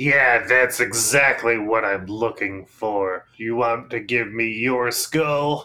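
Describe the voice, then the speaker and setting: A man puts on a character voice at medium pitch, speaking at a very slow pace with fairly even intonation and hardly any pauses. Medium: actual play. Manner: grandiose, theatrical.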